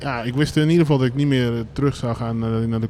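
Noticeable noise fills the background. The talking goes along fairly quickly. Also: man. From Brabant, Netherlands. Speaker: streetwear label co-founder. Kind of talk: live interview on stage. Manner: casual, many fillers.

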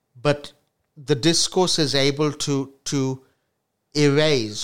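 A man talks at a very slow pace with a medium pitch and fairly even intonation. The recording is very clean, with a silent background. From India. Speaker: academic podcast co-host. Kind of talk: casual academic discussion. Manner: halting, with frequent repetitions.

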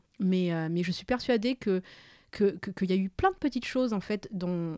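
A woman's dark, mellow tone moves at a moderate pace with ordinary pitch variation. The recording is very clean, with a silent background and a dry, close sound with no echo. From Madagascar, moved to France at 9. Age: 30s. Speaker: podcast co-creator. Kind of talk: casual conversation.

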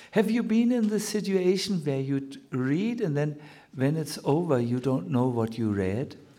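Speaking at a fairly slow pace in a German accent, a man with a fairly high pitch and a dark, mellow tone lets his pitch swing very widely. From Germany. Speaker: Hare Krishna teacher. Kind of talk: spiritual lecture. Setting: lecture hall with audience. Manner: halting, with many fillers.

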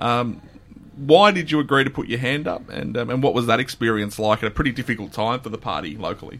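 A man with an Australian accent, medium-pitched, talking at a very fast pace with lively intonation. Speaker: podcast host. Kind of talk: interview for a local news podcast. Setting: radio studio.

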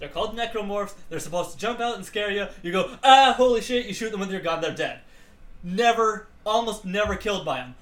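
A man speaks at a fairly quick pace with a high pitch. His pitch varies in an ordinary way, and the room echo is audible. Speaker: podcast co-host. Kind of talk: casual chat.

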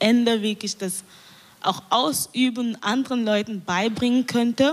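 Speaking fairly slowly, a woman uses an ordinary speaking voice with ordinary pitch variation. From Cameroon. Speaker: community radio journalist. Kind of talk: panel discussion. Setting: live stage panel broadcast on radio.

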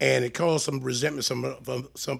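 Speaking at a fairly quick pace, a man uses an unremarkable speaking voice in a medium pitch. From Maryland, Prince George's County. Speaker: retired state trooper. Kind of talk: casual chat.

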